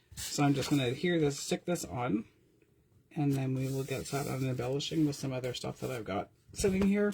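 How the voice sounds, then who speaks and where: The voice is dark and mellow, somewhat breathy, with lively intonation at a very fast pace. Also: woman. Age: 50s. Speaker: paper craft teacher. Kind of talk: tutorial. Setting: live stream from home craft room. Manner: animated.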